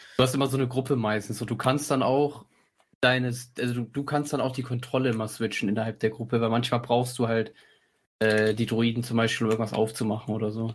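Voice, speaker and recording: A man's somewhat breathy, medium-pitched voice at a very fast pace, in a monotone, flat intonation. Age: 20s. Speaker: podcast co-host. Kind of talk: casual chat.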